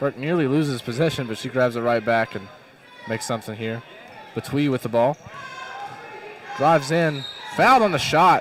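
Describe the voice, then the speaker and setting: A man's medium-pitched voice with an American accent, a fairly quick pace, ordinary pitch variation and long, frequent pauses, amid noticeable background noise. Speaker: play-by-play announcer. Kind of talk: live commentary.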